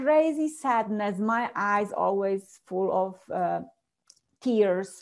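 A woman with a Polish accent at medium pitch, lively intonation and a very slow pace, over a quiet background. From Poland, small village. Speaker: transformational coach. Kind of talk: interview, personal story. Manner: laughs often.

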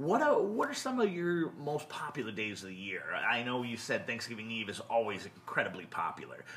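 Speech runs at a fairly quick pace with hardly any pauses. Noticeable background noise sits underneath. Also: man. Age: 30s. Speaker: podcast host, entertainment company owner. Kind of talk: casual interview.

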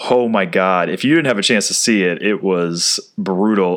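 A man with a normal speaking voice talks at a moderate pace. His intonation is lively, and the recording is very clean with a silent background. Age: 30s. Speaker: sports podcast host. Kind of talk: solo podcast monologue.

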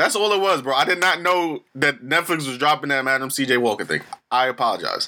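Bright and sharp in tone, a man's fairly high voice moves at a fairly quick pace with ordinary pitch variation. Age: 20s. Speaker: podcast host. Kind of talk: casual chat.

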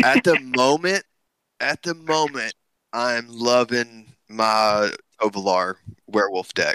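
This man talks at a very slow pace with long, frequent pauses, in an American accent and a bright, sharp tone. His pitch is medium, his intonation lively, and the sound is dry and close with no echo. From US South. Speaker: podcaster and tabletop player. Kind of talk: casual chat.

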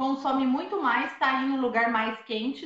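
This woman's tone is bright and sharp. Her pitch sits high. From southern Minas Gerais, Brazil. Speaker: van-life traveler. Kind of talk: casual interview. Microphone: unstable internet connection.

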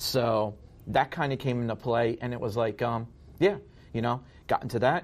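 An ordinary speaking voice from a man, medium in pitch, with ordinary pitch variation at a moderate pace. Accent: American. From New Jersey (Ocean County). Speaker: guest sharing recovery testimony. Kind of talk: testimony.

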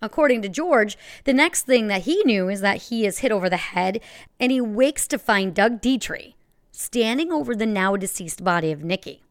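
A woman with an unremarkable speaking voice, fairly high pitch, lively intonation and moderate pace, on a very clean recording with a silent background. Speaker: true crime podcast host. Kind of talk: true-crime narration, told as a scripted, gripping story with dramatic reveals.

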